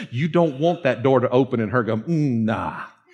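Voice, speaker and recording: An animated man in a Georgia accent. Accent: Southern, Dawsonville Georgia. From US South, North Georgia (Dawsonville). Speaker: pastor. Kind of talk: sermon. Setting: church with congregation.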